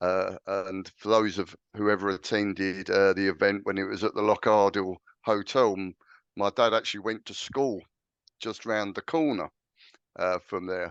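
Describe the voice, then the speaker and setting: Someone with an English accent speaks at a moderate pace in fairly even intonation, the sound dry and close with no echo and the background quiet. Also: man, fairly low pitch for a man. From England, London. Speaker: clan association chairman. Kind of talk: interview. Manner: hesitant, many fillers.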